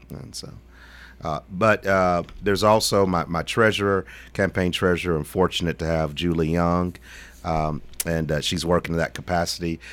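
Over a very clean recording with a silent background, a man with a Tennessee accent speaks at a moderate pace in a very deep, low pitch with ordinary pitch variation. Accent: Southern US (Tennessee). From Middle Tennessee (Shelbyville, Bedford County). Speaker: political candidate, lawyer. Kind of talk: radio interview. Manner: halting, many fillers.

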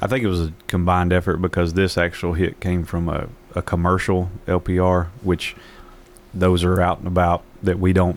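At a moderate pace, a man with a Southern US accent speaks in a very deep, low voice with monotone, flat intonation. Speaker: police captain. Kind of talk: radio interview. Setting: studio.

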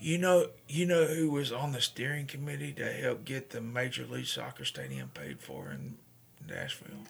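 A man at a moderate pace with big swings in loudness. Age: 40s. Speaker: radio host and veterans advocate. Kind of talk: casual chat. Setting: studio.

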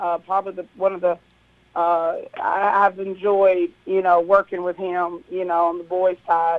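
A woman speaks with an American accent at a medium pitch. Her pace is fairly slow and her intonation monotone and flat. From Kentucky. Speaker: girls' high school basketball coach. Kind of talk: radio interview.

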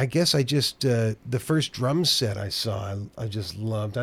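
Recorded very cleanly against a silent background, a man talks at a moderate pace in a somewhat breathy, medium-pitched voice. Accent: American. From Oakland, California. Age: 50s. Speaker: drummer and music teacher. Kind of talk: casual chat.

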